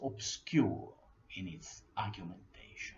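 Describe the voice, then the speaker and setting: The speaker talks at a very slow pace with an Italian accent. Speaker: history lecturer. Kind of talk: lecture. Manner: formal.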